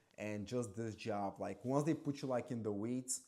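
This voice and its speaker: Using a non-native accent, a man speaks at a moderate pace and medium pitch with ordinary pitch variation. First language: not English. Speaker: former waiter and bartender. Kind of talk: casual vlog monologue. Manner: casual, filler-heavy.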